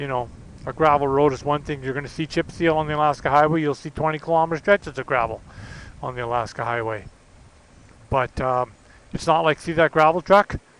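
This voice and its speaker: A man with a fairly high pitch and ordinary pitch variation talks at a very fast pace broken by long, frequent pauses, the sound dry and close with no echo. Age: 60s. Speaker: motorcycle vlogger. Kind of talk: casual vlog monologue while riding.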